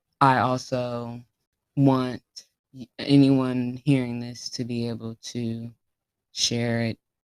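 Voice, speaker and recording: Long pauses occur frequently. Between them, the words come at a very slow pace. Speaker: podcast host. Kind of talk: solo podcast monologue. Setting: at home, late at night.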